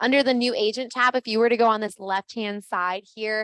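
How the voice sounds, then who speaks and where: A woman speaks at a fairly quick pace with a fairly high pitch. Her intonation is fairly even, and the sound is dry and close with no echo. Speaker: real estate office trainer. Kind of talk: orientation presentation. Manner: fast.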